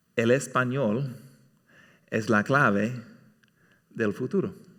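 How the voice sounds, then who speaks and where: Speaking at a very slow pace with an American accent, a man uses a bright, sharp tone at medium pitch with ordinary variation, on a very clean recording with a silent background. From California, US. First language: English (speaking Spanish). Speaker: church elder preaching. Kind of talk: sermon. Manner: halting, many fillers.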